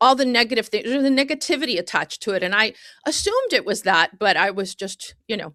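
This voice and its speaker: A woman's very fast, fairly high-pitched voice, bright and sharp in tone with lively intonation, in a very clean recording with a silent background and a dry, close sound with no echo. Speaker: podcast co-host. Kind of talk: casual interview chat.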